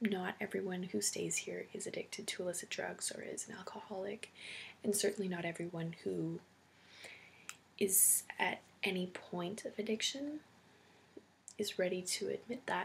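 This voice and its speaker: A woman speaks in a soft-spoken way. Her delivery has long, frequent pauses. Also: moderate pace. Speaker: ASMR creator and homeless shelter worker. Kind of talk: roleplay interview, ASMR.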